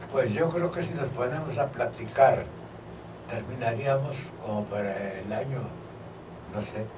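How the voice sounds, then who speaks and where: A man's medium-pitched voice with ordinary pitch variation, a fairly slow pace, long and frequent pauses, noticeable background noise and audible room echo. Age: 80s+. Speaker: civil engineer and former football player. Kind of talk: radio interview.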